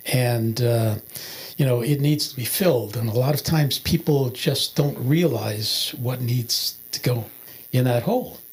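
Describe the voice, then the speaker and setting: Somewhat breathy and medium in pitch, the man's voice moves at a moderate pace with ordinary pitch variation. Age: 70s. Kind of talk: testimony. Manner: halting, many filler words.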